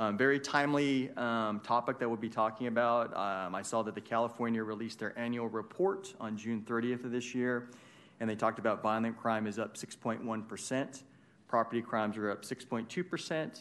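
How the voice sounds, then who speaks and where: The voice is a normal speaking voice, at a moderate pace with ordinary pitch variation. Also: man, medium pitch for a man. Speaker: police official. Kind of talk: presentation. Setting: city council chambers.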